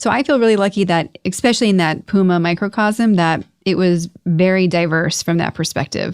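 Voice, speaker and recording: In a normal speaking voice with ordinary pitch variation, the delivery runs at a fairly quick pace with hardly any pauses, very even loudness, and a dry, close sound with no echo. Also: woman, medium pitch for a woman. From United States. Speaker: podcast host. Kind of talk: podcast interview.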